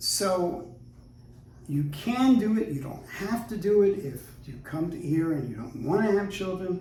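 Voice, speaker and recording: The speaker talks fairly slowly with lively intonation and big swings in loudness. Noticeable background noise and audible room echo are present. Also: man, high pitch for a man. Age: 60s. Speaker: luthier. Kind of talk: casual chat. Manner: halting.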